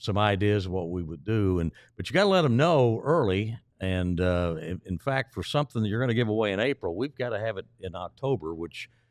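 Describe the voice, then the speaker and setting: A man speaks in a normal speaking voice, fairly low in pitch, with lively intonation at a fairly quick pace. The recording is very clean and dry, close-miked with no echo and a silent background. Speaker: stadium public address announcer. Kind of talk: casual interview answer about promotional giveaways.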